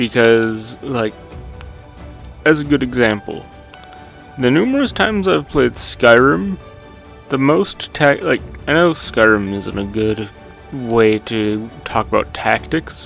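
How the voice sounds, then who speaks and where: Over music in the background, a man with a medium pitch speaks at a very slow pace, with lively intonation and long, frequent pauses. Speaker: game reviewer. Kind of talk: game review voiceover. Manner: casual, rambling.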